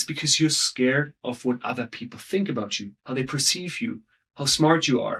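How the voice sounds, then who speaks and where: A man talks with an ordinary speaking voice and ordinary pitch variation. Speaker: storytelling coach. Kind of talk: interview.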